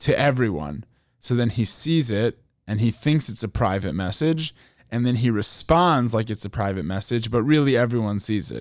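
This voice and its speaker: A man in a normal speaking voice with an American accent, medium pitch, lively intonation and moderate pace, in a very clean recording with a silent background. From Chicago. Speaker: podcast host. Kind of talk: casual podcast chat.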